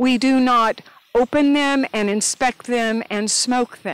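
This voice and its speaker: At a very slow pace, a woman speaks in a high pitch with ordinary pitch variation, the sound dry with no echo. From Northeast Tennessee; Tennessee. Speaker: beekeeper; interviewee. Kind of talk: oral history interview. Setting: outdoors in garden. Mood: warm, animated reminiscing. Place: garden. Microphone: handheld.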